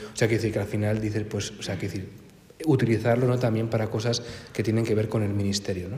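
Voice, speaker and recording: A man's very fast, fairly low voice in monotone, flat intonation, with audible room echo and noticeable background noise. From Spain, Cantabria (Santander). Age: 20s. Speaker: priest. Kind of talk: talk to a parish group.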